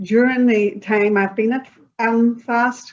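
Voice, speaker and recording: A woman with a Northern Irish accent, fairly high in pitch, speaking very slowly with ordinary pitch variation. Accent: Northern Irish (Belfast). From Northern Ireland, Belfast. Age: 60s. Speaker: interviewee, community project participant. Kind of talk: interview. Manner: halting, many fillers.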